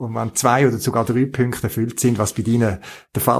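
Recorded very cleanly against a silent background, a man speaks in a somewhat breathy voice. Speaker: podcast host. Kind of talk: casual interview.

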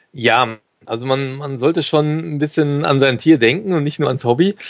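With an unremarkable speaking voice and ordinary pitch variation, a man speaks at a moderate pace over a quiet background. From Germany, Cologne. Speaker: podcaster and dog owner. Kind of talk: interview.

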